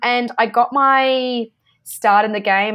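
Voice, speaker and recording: A woman speaks with an Australian accent. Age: 30s. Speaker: sports broadcaster. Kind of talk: interview.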